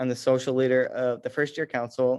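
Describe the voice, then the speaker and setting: A man of medium pitch with an American accent. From US Midwest, rural Missouri. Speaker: student leader. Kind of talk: presentation.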